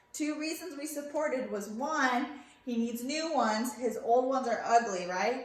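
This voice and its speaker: Loud speech with audible room echo and noticeable background noise. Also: woman. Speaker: schoolteacher. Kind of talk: remote lesson.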